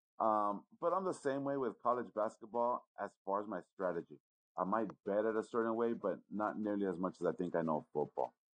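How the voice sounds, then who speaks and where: Over background music, an American-accented man with a fairly low voice talks at a fairly quick pace with lively intonation. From Los Angeles. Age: 40s. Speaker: sports bettor. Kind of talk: casual chat.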